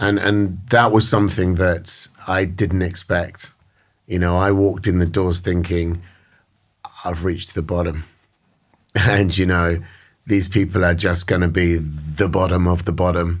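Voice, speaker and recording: A man's very deep, low voice with a British accent, monotone, flat intonation, a fairly slow pace and long, frequent pauses. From England, countryside outside London. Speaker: recovering addict. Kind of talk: interview. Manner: halting, many fillers.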